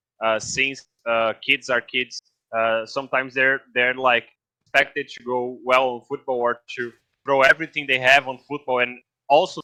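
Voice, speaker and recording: The man's voice is medium-pitched with a bright, sharp tone, moving at a moderate pace in a monotone, flat intonation. The sound is dry and close with no echo. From Brazil. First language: Portuguese. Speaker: esports guest expert. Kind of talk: podcast interview. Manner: halting, many fillers.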